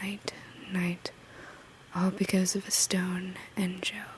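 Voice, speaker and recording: The speaker whispers in a soft-spoken way. Noticeable background noise can be heard. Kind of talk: ASMR bedtime poetry reading. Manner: soft-spoken, whispery.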